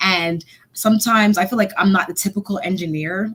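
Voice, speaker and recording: Over noticeable background noise, a woman talks at a medium pitch, varying it in an ordinary way. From Montreal, Canada. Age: 30s. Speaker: software engineer and stand-up comedian. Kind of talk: casual interview. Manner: fast.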